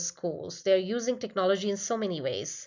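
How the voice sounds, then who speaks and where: A woman with a non-native accent speaks at a medium pitch and moderate pace, with ordinary pitch variation. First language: not English. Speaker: PhD researcher presenting a study. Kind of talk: conference presentation. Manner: slightly halting, with fillers.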